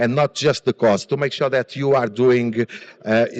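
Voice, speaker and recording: The sound is dry and close with no echo as a man with a Portuguese accent speaks at a medium pitch with fairly even intonation. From Portugal. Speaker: business founder and conference speaker. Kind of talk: conference presentation. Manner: hesitant, many fillers and repetitions.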